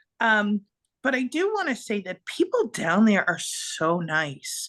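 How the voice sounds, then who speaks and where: Over a quiet background, a woman with a Boston accent speaks in an animated tone. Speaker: podcast co-host. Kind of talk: casual chat.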